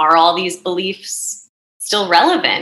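Fairly slow speech from a woman with a fairly low pitch, ordinary pitch variation and a New Jersey accent. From North Jersey, US. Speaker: happiness coach. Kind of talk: casual interview.

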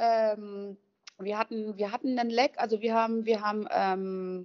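At a moderate pace, a woman's fairly high pitch moves with ordinary variation, an ordinary speaking voice. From western Germany, Düsseldorf/Duisburg. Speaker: van lifer. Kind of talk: casual chat.

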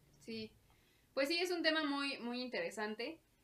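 The speaker is a woman whose pitch varies in an ordinary way. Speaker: podcast co-host. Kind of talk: casual chat. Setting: lights off.

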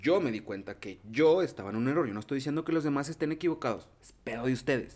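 With a Mexican accent, the speaker races along at a very fast pace, using lively intonation and big swings in loudness. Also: man, fairly high pitch for a man. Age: 30s. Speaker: podcast host. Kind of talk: casual chat.

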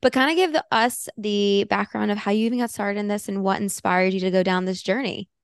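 A woman's animated, medium-pitched speech at a very fast pace with hardly any pauses and ordinary pitch variation, dry and close with no echo over a quiet background. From Alabama and Florida. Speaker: podcast host. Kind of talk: casual interview chat. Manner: animated, excitable.

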